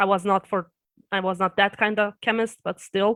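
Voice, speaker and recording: On a very clean recording with a silent background, a woman with a Serbian accent speaks at a medium pitch. Her delivery is fairly quick, with monotone, flat intonation. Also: dry, close sound with no echo. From Serbia and Austria. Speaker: YouTuber. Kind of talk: interview. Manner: halting.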